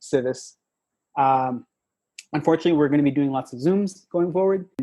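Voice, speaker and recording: A man with a slight Spanish accent speaks in a fairly high pitch with a dark, mellow tone against a quiet background. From Mexico, small town. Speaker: tech product manager. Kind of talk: podcast interview. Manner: halting, many repetitions and fillers.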